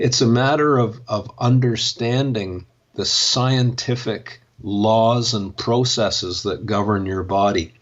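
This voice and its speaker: A man's voice with ordinary pitch variation. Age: 60s. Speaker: back injury scientist and author. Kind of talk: interview. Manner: halting, many repetitions.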